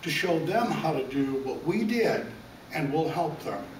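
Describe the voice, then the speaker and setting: Heard through audible room echo and noticeable background noise, a man talks at a moderate pace with ordinary pitch variation. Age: 60s. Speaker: self-made businessman, debt buyer. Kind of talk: interview. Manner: stammering on repeated words.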